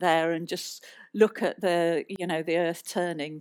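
A woman speaks at a moderate pace with a British accent, her pitch fairly low. The recording is very clean, with a silent background. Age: 60s. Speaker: planetary scientist. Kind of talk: live stage conversation with audience. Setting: stage with audience.

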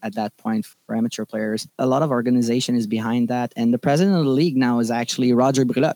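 Speaking fairly quickly in a Quebec accent, a man has a dark, mellow tone with a dry, close sound and no echo. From Quebec, Laval. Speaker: baseball umpire. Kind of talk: casual interview.

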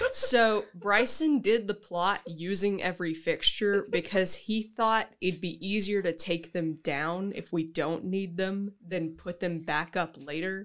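In a normal speaking voice, a woman with a medium pitch speaks at a fairly slow pace using ordinary pitch variation. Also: hardly any pauses. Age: young. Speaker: college student actor. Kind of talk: casual chat.

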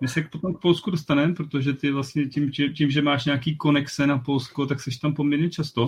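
The voice is somewhat breathy and keeps to a moderate pace. Its intonation is monotone and flat. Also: man, fairly high pitch for a man. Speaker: podcast host. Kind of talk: casual chat.

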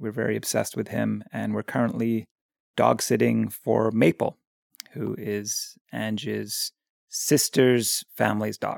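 A man with a Canadian accent speaks at a fairly slow pace, the sound dry and close with no echo. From Victoria, Canada. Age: 40s. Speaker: artist. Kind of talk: casual chat.

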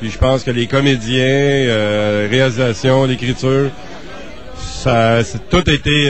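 Noticeable background noise accompanies a man speaking at a medium pitch with ordinary pitch variation. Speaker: independent film producer. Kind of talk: interview.

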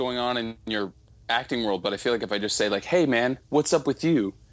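A plain, everyday voice moves at a fairly quick pace. The pitch varies in an ordinary way. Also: man. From Southern California. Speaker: podcast co-host. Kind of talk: casual chat.

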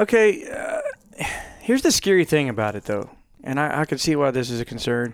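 A man with a fairly high pitch talks at a fairly quick pace in very wide pitch swings. Long, frequent pauses break his speech over noticeable background noise. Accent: American. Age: 30s. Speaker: guest. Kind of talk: casual chat. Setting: studio.

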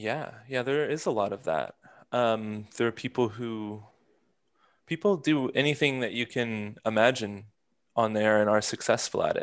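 Over a quiet background, a man talks at a moderate pace and medium pitch with ordinary pitch variation. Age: 20s. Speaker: visual artist and podcast host. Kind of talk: casual interview. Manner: halting, many fillers.

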